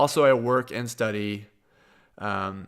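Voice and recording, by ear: A man with a Midwestern American accent speaks with fairly even intonation and a clear, smooth, fairly bright tone on a very clean recording with a silent background.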